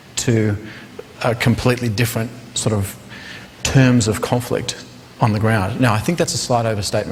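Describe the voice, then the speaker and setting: With an Australian accent, a man of medium pitch speaks at a moderate pace in a monotone, flat intonation over noticeable background noise. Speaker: counterinsurgency adviser. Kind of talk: panel discussion.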